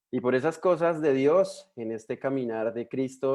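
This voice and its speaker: A man with a strong Colombian accent, at a moderate pace. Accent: Colombian, still strong. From Colombia, Bogotá. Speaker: missionary. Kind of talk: sermon.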